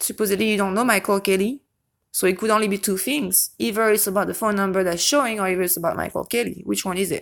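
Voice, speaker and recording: At a very fast pace, a woman with a non-native accent speaks at a medium pitch with fairly even intonation, in a very clean recording with a silent background. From Europe. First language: non-English European language. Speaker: YouTube true-crime commentator. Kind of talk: casual vlog commentary. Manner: occasional stutter on certain words; hesitant, frequent self-corrections.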